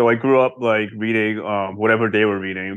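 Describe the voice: A man talks at a fairly slow pace with an American accent. His pitch is fairly low.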